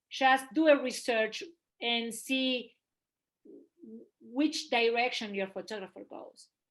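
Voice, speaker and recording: In a Spanish accent, a woman with a high voice speaks very slowly, her pitch varying in an ordinary way, her loudness swinging widely, and her speech broken by long, frequent pauses. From Argentina. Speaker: photographer. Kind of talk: casual interview.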